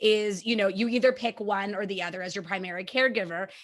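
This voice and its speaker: Here is a normal speaking voice with fairly even intonation. The pace is fairly quick. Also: woman. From Canada. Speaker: podcast host, mom of three. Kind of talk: casual interview chat.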